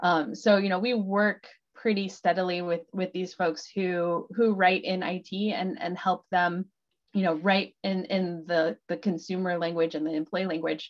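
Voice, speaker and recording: A woman speaks at a fairly slow pace with fairly even intonation. The background is quiet. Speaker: knowledge program manager; presenter. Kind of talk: Q&A moderation. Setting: video call. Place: home room. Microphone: video call.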